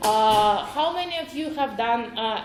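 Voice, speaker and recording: A woman with a Ukrainian accent speaks in a fairly high voice with lively intonation, amid audible room echo and noticeable background noise. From Ukraine. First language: Ukrainian or Russian. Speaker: web developer, conference speaker. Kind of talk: conference talk.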